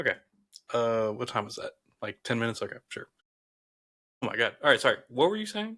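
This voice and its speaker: With a Southern US accent, a man talks at a very fast pace broken by long, frequent pauses and big swings in loudness, in a dry, close sound with no echo. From US South. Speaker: podcast co-host. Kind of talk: casual chat. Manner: animated.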